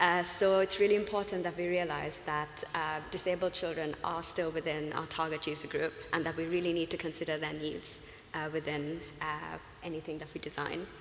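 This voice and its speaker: In a room with audible echo, a woman with a Sri Lankan accent talks fairly quickly in a flat monotone. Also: fairly low pitch for a woman. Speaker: UX design consultant. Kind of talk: conference talk. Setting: stage with audience. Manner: fast; hesitant, many fillers.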